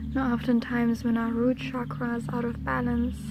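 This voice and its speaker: A woman keeps a moderate pace, her sound dry with no echo, while loud noise fills the background. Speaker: energy healing guide. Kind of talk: guided meditation talk. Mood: calm, soothing. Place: garden. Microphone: phone near.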